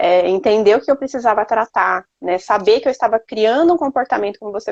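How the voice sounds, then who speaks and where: A woman with a fairly high pitch talks at a fairly quick pace and lively intonation, in a dry, close sound with no echo. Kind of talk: faith testimony conversation. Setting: Instagram live video stream. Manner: fast.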